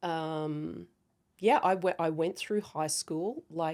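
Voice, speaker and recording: A woman's dark, mellow voice moves with ordinary pitch variation on a very clean recording with a silent background. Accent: Australian. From Australia, rural central New South Wales. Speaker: cybersecurity founder and former navy intelligence officer. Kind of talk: interview.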